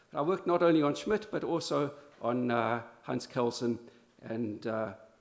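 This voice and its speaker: There is audible room echo as a man with an American accent speaks at a moderate pace in a medium-pitched voice with very wide pitch swings. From South Africa. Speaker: law professor. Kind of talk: conference talk. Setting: conference in Berlin. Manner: halting, many fillers and restarts.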